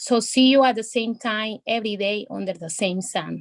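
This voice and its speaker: In a very clean recording with a silent background and a dry, close sound with no echo, a woman with a Spanish accent speaks at a fairly slow pace in a medium pitch with fairly even intonation. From El Salvador. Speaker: poet. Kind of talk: poetry reading; casual chat. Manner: halting.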